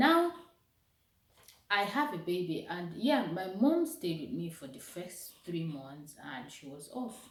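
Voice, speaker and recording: A somewhat breathy woman's voice at a fairly slow pace, with very wide pitch swings, big swings in loudness, and long, frequent pauses, in audible room echo. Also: medium pitch for a woman. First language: not English. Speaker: vlogger. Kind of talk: motivational vlog talk. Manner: casual, conversational.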